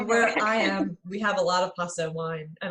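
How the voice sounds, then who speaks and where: The speaker has a New York accent and ordinary pitch variation. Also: woman. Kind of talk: interview answer.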